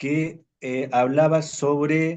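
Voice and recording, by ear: Speaking at a very slow pace, a man uses a fairly high pitch, a slightly mellow tone and fairly even intonation.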